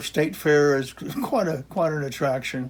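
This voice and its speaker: The speaker has an American accent and a moderate pace. Pitch varies in an ordinary way. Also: man. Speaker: retired geography professor. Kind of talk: casual lecture. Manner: halting, many fillers and restarts.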